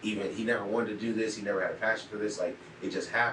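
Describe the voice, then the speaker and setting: A man with an American accent talks very fast in a fairly low voice, with audible echo from the room. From US Midwest, Cleveland, Ohio. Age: 20s. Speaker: entrepreneur. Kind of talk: casual interview.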